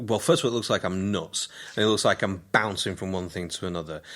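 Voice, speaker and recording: On a very clean recording with a silent background, a man speaks with a West Yorkshire accent. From northern England, Keighley, West Yorkshire. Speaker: radio presenter, playwright and comedian. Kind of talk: casual interview.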